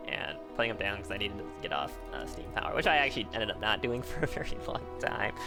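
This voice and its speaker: With music in the background, a man speaks at a medium pitch and fairly quick pace. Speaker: gaming YouTuber. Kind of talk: casual gameplay commentary.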